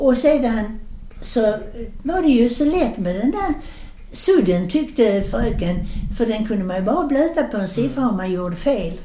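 Over noticeable background noise and audible room echo, a woman speaks at a moderate pace in a fairly high voice with very wide pitch swings. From southern Sweden (Skåne, Landskrona). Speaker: grandmother telling childhood memories. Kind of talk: storytelling. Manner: animated.

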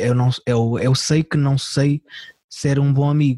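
A man speaks in a dark, mellow tone that is somewhat breathy, with monotone, flat intonation. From Portugal, Algarve. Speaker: comedian. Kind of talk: casual chat. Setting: video call.

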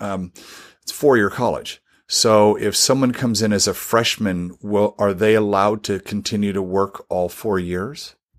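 The recording is very clean with a silent background as a man with an ordinary speaking voice talks at a moderate pace in a fairly low pitch. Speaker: podcast host. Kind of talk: interview conversation.

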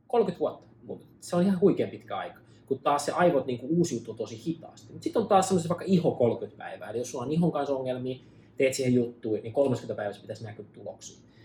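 With a dark, mellow tone and a somewhat breathy, fairly high voice, a man speaks at a fairly quick pace, his intonation lively and his loudness swinging widely. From Finland, Pirkanmaa near Tampere. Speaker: medicinal mushroom entrepreneur. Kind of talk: casual interview. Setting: at the host's home in Los Angeles.

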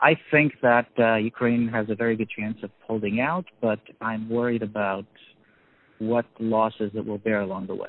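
A man with a New York accent, medium pitch, fairly even intonation and a moderate pace. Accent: New York American. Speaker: newspaper editor. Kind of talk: interview. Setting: in a car. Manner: halting.

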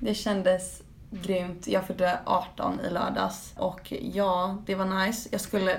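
Someone speaks at a very slow pace with fairly even intonation, amid audible room echo and noticeable background noise. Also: woman, medium pitch for a woman. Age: 18. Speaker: podcast co-host. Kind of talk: casual chat.

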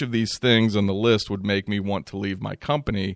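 With ordinary pitch variation, a man speaks in an ordinary speaking voice. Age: 40s. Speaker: podcast host, EMS manager. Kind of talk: solo podcast monologue. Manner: casual with frequent fillers.

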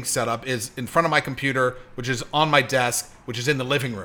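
A man with an American accent speaks at a moderate pace and medium pitch. His tone is bright and sharp, with ordinary pitch variation. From Hollywood, California. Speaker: producer and author. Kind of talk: casual chat. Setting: home studio.

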